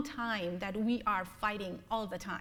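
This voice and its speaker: At a moderate pace, a woman speaks with audible room echo. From Bangladesh. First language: Bengali. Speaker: blogger and humanist lecturer. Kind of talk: lecture. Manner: halting, with many fillers.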